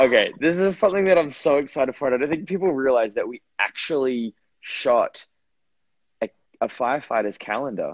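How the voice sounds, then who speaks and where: A man with an Australian accent, fairly high-pitched and fairly quick, with lively intonation and a dry, close sound free of echo. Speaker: actor. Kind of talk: casual chat. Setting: Instagram live video.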